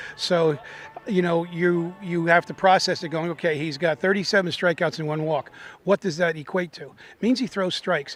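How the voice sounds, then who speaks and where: At a moderate pace, a man with a high pitch speaks with fairly even intonation while his loudness swings widely. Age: 60s. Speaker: baseball team manager. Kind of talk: pregame interview. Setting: ballpark.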